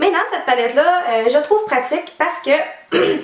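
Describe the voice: A woman uses a hoarse, high-pitched put-on character voice, speaking at a moderate pace with lively intonation.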